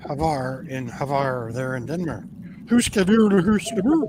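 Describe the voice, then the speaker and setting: Putting on a playful character voice in a Swedish accent, a man speaks fairly high at a moderate pace over clear background noise. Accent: mock Swedish. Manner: gibberish, playful.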